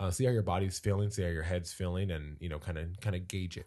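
Very fast and somewhat breathy, a man with a very deep, low pitch and a dark, mellow tone speaks with ordinary pitch variation. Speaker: fitness podcast host. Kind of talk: casual chat.

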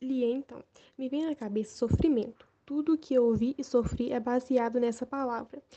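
A woman speaks at a moderate pace with a high pitch and a dark, mellow tone. Her intonation is fairly even, and the sound is dry and close with no echo. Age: 80s+. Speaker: witness of the dictatorship era. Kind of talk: testimony.

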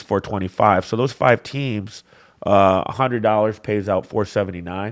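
A man with a Michigan accent speaks at a moderate pace with fairly even intonation and a fairly low pitch. The recording is very clean, with a silent background. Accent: US Midwest (Michigan). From Michigan (Flint area). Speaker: bookmaker. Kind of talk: casual chat.

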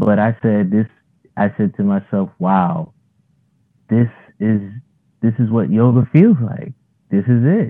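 With an American accent and lively intonation, the speaker goes at a fairly slow pace with long, frequent pauses. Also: man, medium pitch for a man. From New York City. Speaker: fitness trainer and yoga instructor. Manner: not loud.

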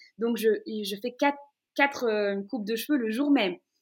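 Her voice high in pitch, a woman talks at a moderate pace. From Brussels, Belgium. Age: 20s. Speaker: radio host. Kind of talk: interview. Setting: at home in her living room.

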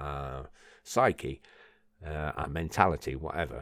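A man's voice with vocal fry. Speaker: personal development podcaster. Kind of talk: solo podcast monologue. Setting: home recording at a microphone. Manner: rambling, with filler words.

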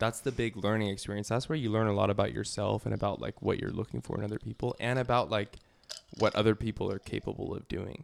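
Talking at a fairly quick pace, a man with a fairly low pitch shows vocal fry. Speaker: podcast host. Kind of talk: casual banter.

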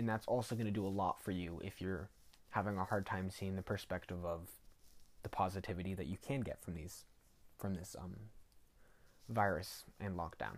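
Over a silent background in a very clean recording, a man with a very deep, low pitch talks at a moderate pace with fairly even intonation and long, frequent pauses. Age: young. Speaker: podcast host. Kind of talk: solo reflective monologue. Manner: hesitant, many fillers.

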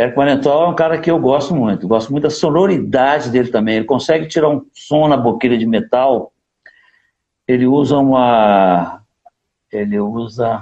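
A man speaks at a moderate pace with very even loudness, ordinary pitch variation, and long, frequent pauses. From Minas Gerais, Brazil (Divinópolis). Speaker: saxophonist. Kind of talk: casual interview. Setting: live stream. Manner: animated.

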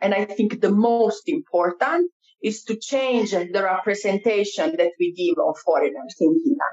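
A woman with an Italian accent speaks at a fairly slow pace and a fairly high pitch, with very wide pitch swings and very even loudness. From Italy. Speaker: cultural mediator. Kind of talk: interview. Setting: studio. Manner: talkative.

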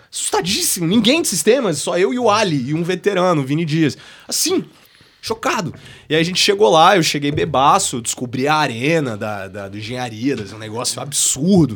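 This man talks at a fairly quick clip with a fairly high pitch and some vocal fry. His pitch swings very widely. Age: 20s. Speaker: university student and entrepreneur. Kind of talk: casual chat.

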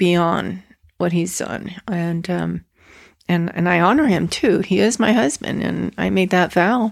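A woman speaks fairly slowly with vocal fry. Her pitch is fairly low and varies in an ordinary way. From Mexico, Guadalajara. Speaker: mother of the host. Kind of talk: casual chat. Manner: warm, hesitant with fillers.

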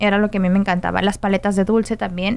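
A woman speaks with a western Mexican accent. Her pitch is fairly high. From Mexico, Guadalajara, Jalisco. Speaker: podcast host. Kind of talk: casual interview chat.

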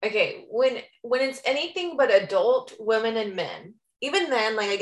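The speaker uses an unforced reading voice with lively intonation. The background is quiet.

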